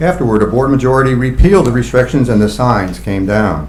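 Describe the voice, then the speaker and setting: Noticeable background noise and audible room echo accompany fairly quick speech. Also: man. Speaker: gun rights advocate. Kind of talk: prepared statement at public comment. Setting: county board meeting with audience. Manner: fast.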